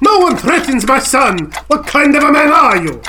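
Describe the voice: A man in a put-on character voice, extremely high in pitch, with a bright, sharp tone, big pitch swings, a moderate pace and faint background noise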